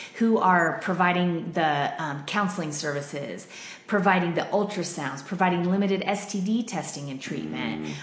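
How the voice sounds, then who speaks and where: A woman with a fairly low pitch talks at a moderate pace with ordinary pitch variation. Noticeable background noise and audible room echo are present. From Denver, Colorado. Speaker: pregnancy center worker. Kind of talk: interview. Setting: studio.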